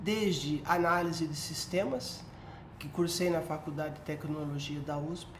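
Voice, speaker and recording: Against noticeable background noise and audible room echo, a woman with a very deep, low pitch speaks at a fairly slow pace with fairly even intonation. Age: 60s. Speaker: retired police colonel and researcher. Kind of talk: educational talk.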